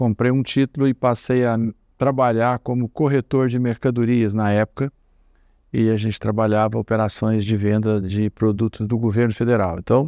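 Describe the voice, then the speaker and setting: Recorded dry and close with no echo against a quiet background, a man speaks with a dark, mellow tone, fairly even intonation and very even loudness. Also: medium pitch for a man, moderate pace. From Brazil, Minas Gerais (Triângulo Mineiro, Uberlândia). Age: 60s. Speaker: commodity broker. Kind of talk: oral history interview.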